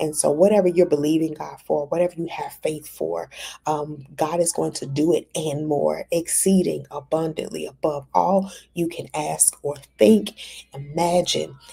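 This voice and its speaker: A woman speaks quietly at a moderate pace. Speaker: ministry conference organizer. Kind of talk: fundraising appeal. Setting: hotel room. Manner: speaking quietly; halting with fillers.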